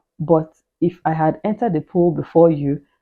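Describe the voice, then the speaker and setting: Her pitch is very deep and low for a woman. The woman's voice shows ordinary pitch variation. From Nigeria. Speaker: immigration vlogger. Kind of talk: casual vlog advice. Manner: fast. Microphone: new mic.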